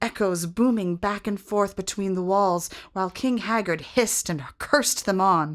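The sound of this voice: Here is an unforced reading voice with ordinary pitch variation.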